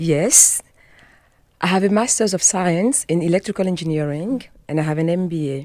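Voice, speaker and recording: Speaking with a French accent, a woman has a dark, mellow tone at a fairly low pitch, with ordinary pitch variation. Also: moderate pace. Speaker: health and wellness coach. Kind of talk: radio interview. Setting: radio studio.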